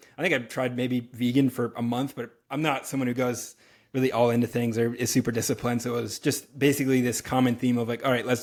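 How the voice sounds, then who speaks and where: Speaking very fast with an American accent, a man of medium pitch keeps a monotone, flat intonation on a very clean recording with a silent background. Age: 30s. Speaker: health and wellness coach. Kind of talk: podcast interview.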